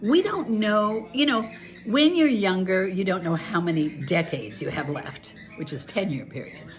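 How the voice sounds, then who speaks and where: Music plays behind a woman speaking at medium pitch and a moderate pace. Her pitch swings very widely, and room echo is audible. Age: 70s. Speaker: devotional author and video blogger. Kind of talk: casual monologue. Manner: animated.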